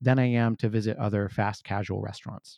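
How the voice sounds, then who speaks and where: Speaking at a moderate pace, a man with an American accent uses a medium pitch. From California, Santa Clara Valley. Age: 40s. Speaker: financial technology consultant. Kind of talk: interview conversation.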